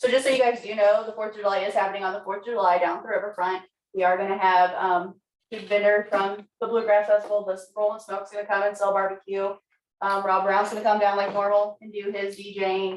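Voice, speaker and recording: Speaking very fast, a woman at medium pitch uses monotone, flat intonation. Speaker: city council member. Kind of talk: public meeting.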